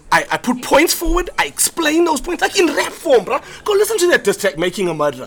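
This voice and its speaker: Over noticeable background noise, a man with an extremely high pitch talks at a fairly quick pace in an animated tone, his voice making very wide pitch swings. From South Africa. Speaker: comedian and podcast co-host. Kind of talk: casual chat. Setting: live in a pub.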